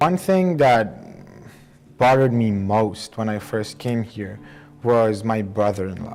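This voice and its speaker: Over music in the background, a man with an Iranian accent talks at a fairly slow pace with long, frequent pauses, using lively intonation at a medium pitch. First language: Persian. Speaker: engineering student and immigrant. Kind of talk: documentary interview.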